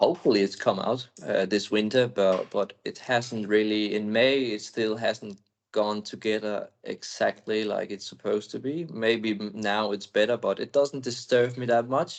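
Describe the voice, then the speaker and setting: Someone with a non-native accent speaks at a moderate pace with hardly any pauses. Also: man, medium pitch for a man, fairly even intonation. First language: Danish. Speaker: speedway rider. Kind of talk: interview. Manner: calm.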